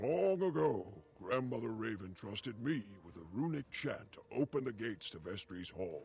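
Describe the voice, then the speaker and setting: A man puts on a character voice at a medium pitch. His pitch swings very wide. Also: moderate pace. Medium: video game. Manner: formal, archaic phrasing.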